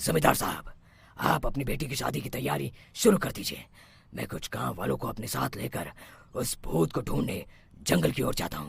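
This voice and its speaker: A man speaks at a moderate pace in a cartoonish character voice, fairly low-pitched, with very wide pitch swings. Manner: authoritative.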